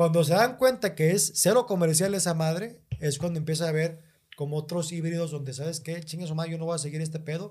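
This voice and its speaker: With a normal speaking voice, a man talks at a fairly high pitch using ordinary pitch variation. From northern Mexico, Monterrey. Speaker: stand-up comedian. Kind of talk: casual chat.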